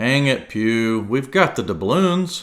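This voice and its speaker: A man puts on a character voice at a medium pitch. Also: fairly slow pace, very clean recording, silent background. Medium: read story.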